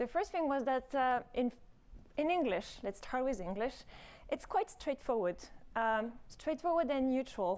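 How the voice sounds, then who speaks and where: Speaking with a French accent at a fairly slow pace, the voice holds a very even loudness while making very wide pitch swings. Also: woman, high pitch for a woman. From France. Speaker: robotics professor. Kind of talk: conference talk. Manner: hesitant, many fillers.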